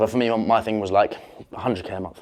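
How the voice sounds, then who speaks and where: Against a quiet background, a man with a British accent talks at a medium pitch. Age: 20s. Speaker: entrepreneur. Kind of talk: casual talk to camera. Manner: confident.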